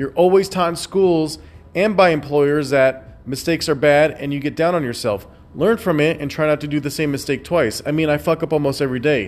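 A man speaks at a fairly quick pace and fairly high pitch, his pitch varying in an ordinary way. His tone is intense. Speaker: podcaster. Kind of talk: motivational rant. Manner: intense, fired-up, forceful; blunt, preachy, emphatic.

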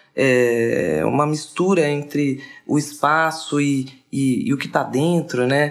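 A woman with a very deep, low voice, ordinary pitch variation and a very slow pace. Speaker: designer and radio show host. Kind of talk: casual chat.

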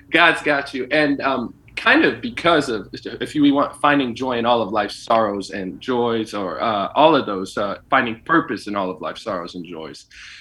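A man's medium-pitched voice with lively intonation, a moderate pace, hardly any pauses, and noticeable background noise. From Ethiopian immigrant family in Kansas, US. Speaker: podcast host. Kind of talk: casual interview chat.

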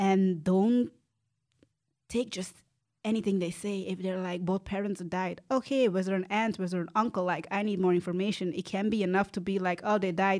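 Fairly even intonation marks a woman speaking with a Flemish accent. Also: medium pitch for a woman, moderate pace. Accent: Flemish-Belgian English. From Belgium (Antwerp area, Flanders). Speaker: transracial adoptee. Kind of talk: casual conversational interview.

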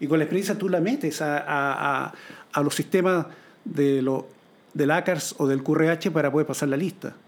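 With ordinary pitch variation and a fairly slow pace, this man talks in a fairly high register. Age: 60s. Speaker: airline captain. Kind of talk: interview. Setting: home studio.

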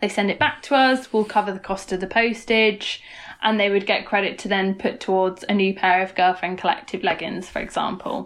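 A woman speaks at a fairly quick pace and a medium pitch, in an unremarkable speaking voice. Her intonation stays fairly even. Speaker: startup founder and marketing consultant. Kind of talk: podcast interview.

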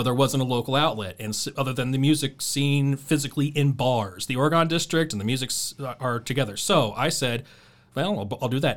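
Speaking with an Ohio accent, a man talks at a fairly quick pace with ordinary pitch variation. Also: medium pitch for a man. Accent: Ohio, with Midwestern US features. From Dayton, Ohio. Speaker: radio DJ and podcast host. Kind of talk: casual chat.

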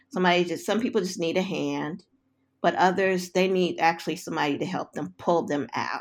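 A woman with an American accent speaks at fairly low pitch with vocal fry. The recording is very clean, with a silent background. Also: ordinary pitch variation. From US West Coast, South Central Los Angeles. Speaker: social worker and psychotherapy researcher. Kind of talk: interview.

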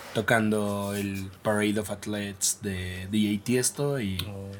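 Speaking very slowly, a man has a fairly low voice with a bright, sharp tone. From Mexico City. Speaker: electronic music DJ and producer. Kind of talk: casual interview.

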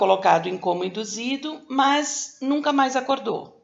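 With lively intonation and a high pitch, a woman talks at a very slow pace. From Brazil, São Paulo. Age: 50s. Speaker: teacher and blogger. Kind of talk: interview.

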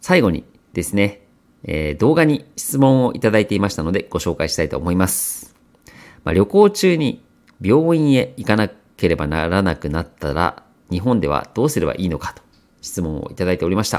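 This man's pitch is fairly low but swings very widely. He talks at a fairly quick pace. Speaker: podcast host. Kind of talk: casual monologue for language learners.

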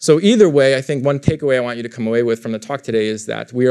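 Here a man speaks at a very fast pace and medium pitch. His intonation stays fairly even. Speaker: political science professor. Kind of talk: lecture. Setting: stage with audience.

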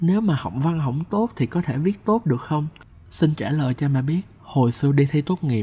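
A man's somewhat breathy, fairly high voice with a dark, mellow tone and lively intonation. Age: 20s. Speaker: podcast host and copywriter. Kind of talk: personal storytelling monologue.

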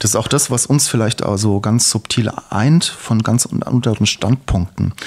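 In an unremarkable speaking voice, a man talks at a medium pitch and moderate pace, with fairly even intonation and very even loudness. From Hesse, Germany (eastern Hesse, Main-Kinzig district). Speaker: podcast co-host, video producer. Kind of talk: casual conversation, life story.

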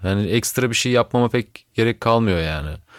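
A man speaks at a moderate pace in a plain, everyday voice. The recording is very clean, with a silent background. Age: 30s. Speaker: musician. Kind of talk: casual chat.

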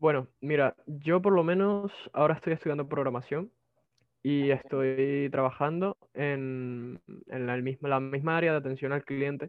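A man with a Venezuelan accent, fairly high pitch, ordinary pitch variation and a fairly slow pace. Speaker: migrant telemarketer and programming student. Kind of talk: casual interview. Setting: video call.

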